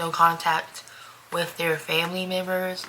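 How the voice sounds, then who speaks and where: A woman with a fairly low voice is heard with audible room echo and noticeable background noise. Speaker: vlogger. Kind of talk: personal monologue vlog.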